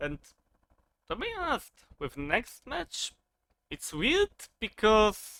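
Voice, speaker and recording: Delivered at a very slow pace with a non-native accent, the speech has long, frequent pauses. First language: not English. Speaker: wrestling commentary youtuber. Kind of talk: casual monologue review. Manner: halting, many fillers.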